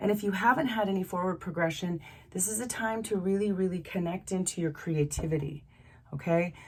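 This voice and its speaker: A somewhat breathy woman speaks at a fairly quick pace, her medium pitch showing ordinary variation. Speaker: tarot card reader. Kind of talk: tarot reading monologue. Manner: halting, many fillers.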